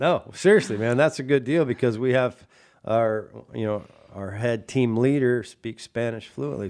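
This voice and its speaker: Speaking with an American accent, a man has a normal speaking voice, medium pitch, and ordinary pitch variation. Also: very clean recording, silent background. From Washington State, US (Chelan valley). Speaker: radio show host. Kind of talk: casual interview chat.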